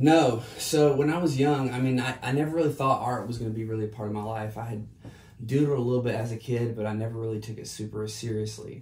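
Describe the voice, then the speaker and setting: Over noticeable background noise and audible room echo, a man with an American accent talks at a very fast pace at medium pitch with fairly even intonation. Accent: slight Southern, stronger after a drink. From US South, South Carolina. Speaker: artist and entrepreneur. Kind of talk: casual interview.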